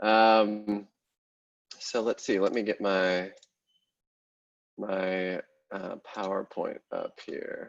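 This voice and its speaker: Very slowly and with long, frequent pauses, a man with an American accent speaks in a dry, close sound with no echo. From US Pacific Northwest, Portland Oregon. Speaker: space media founder and journalist. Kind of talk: presentation talk.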